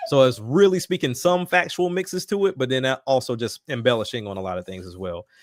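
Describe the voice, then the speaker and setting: In a Southern US accent, the voice races at a very fast pace with very wide pitch swings, in a dry, close sound with no echo. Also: man, medium pitch for a man, hardly any pauses, big swings in loudness. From US South, Alabama. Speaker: rapper. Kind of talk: casual chat.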